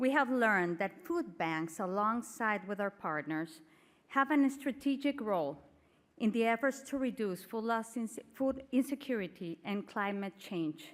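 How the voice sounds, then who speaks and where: Speaking at a fairly slow pace in a Spanish accent, a woman with a fairly high pitch makes very wide pitch swings. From Mexico. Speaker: panel moderator, food bank network executive. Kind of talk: conference panel moderation.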